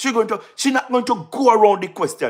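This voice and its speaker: The voice has a Jamaican accent. Its tone is animated. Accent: Jamaican Patois-inflected English. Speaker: political livestream host. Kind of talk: live-stream political commentary. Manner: loud.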